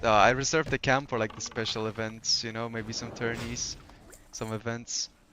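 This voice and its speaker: Monotone, flat speech at a moderate pace, with noticeable background noise. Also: man, medium pitch for a man. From Poland. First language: Polish. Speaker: gaming streamer. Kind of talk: casual chat. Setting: live stream. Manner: relaxed, hesitant with fillers.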